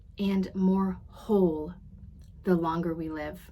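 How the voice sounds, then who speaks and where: A woman talks very slowly in a somewhat breathy voice. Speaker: podcast host and coach. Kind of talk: podcast monologue recapping a conference session.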